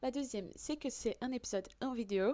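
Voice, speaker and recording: A woman with a Portuguese accent has a dark, mellow tone and fairly even intonation. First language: Portuguese (speaking French). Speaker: podcast host. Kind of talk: podcast monologue. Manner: hesitant, many fillers.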